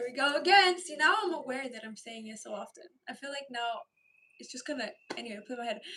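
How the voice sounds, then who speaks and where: A woman's animated, bubbly tone in a raised, projected voice, high in pitch, at a very fast pace, with lively intonation and big swings in loudness. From Romania, then Ireland from about age 10. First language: Romanian. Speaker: live streamer. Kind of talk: casual live-stream chat reading viewer comments.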